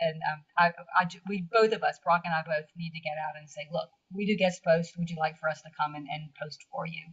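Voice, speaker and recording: Her loudness swings widely as a somewhat breathy woman talks at a fairly quick pace with fairly even intonation. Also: fairly low pitch for a woman. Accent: Southern US. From US South. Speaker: blogger. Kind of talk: interview. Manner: halting.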